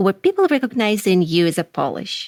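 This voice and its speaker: A woman with a Russian accent talks at a medium pitch. The recording is very clean with a silent background and a dry, close sound with no echo. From Russia, Moscow. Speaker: podcast host. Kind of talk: podcast interview.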